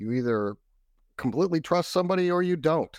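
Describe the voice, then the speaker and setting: On a very clean recording with a silent background and a dry, close sound with no echo, a man with an American accent speaks in an unremarkable speaking voice at a fairly high pitch, fairly quickly, with lively intonation. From Texas. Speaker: cybersecurity expert. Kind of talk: interview.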